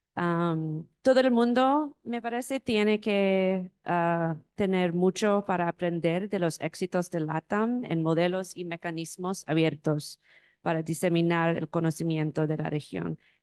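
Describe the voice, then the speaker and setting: A woman with an English accent, fairly low in pitch with ordinary variation, at a fairly slow pace with hardly any pauses, in a dry, close sound with no echo and a quiet background. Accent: non-native Spanish, English-speaking. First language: English (speaking Spanish). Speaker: publishing director, panelist. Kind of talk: conference panel presentation. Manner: halting, many fillers.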